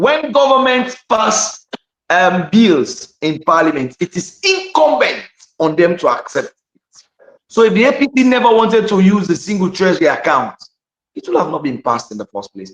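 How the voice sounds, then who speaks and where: An animated man at a moderate pace, high in pitch, with very wide pitch swings and big swings in loudness. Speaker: opposition politician. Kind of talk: heated debate. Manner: halting.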